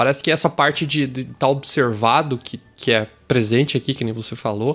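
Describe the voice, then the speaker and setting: A man talks at a medium pitch. He has a normal speaking voice. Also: fairly even intonation, moderate pace. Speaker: podcast host. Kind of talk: casual podcast conversation.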